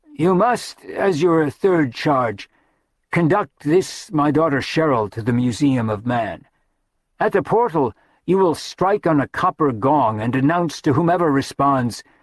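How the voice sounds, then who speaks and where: In a put-on character voice, the speaker sounds hoarse, with lively intonation and a moderate pace, recorded dry and close with no echo. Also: man, fairly high pitch for a man. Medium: read story. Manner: solemn, grave.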